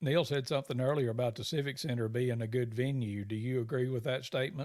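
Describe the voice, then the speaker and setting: Someone with a Southern US accent talks at a very fast pace with ordinary pitch variation. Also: man, medium pitch for a man. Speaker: southern gospel podcast host. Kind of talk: casual chat.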